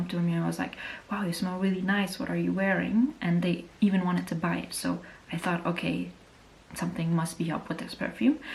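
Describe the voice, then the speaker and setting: A woman's fairly low-pitched voice at a very fast pace, with noticeable background noise. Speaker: beauty youtuber. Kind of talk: casual review monologue. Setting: at home.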